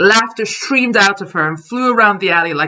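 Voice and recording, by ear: This is reading aloud in a natural voice. The speaker reads through the text.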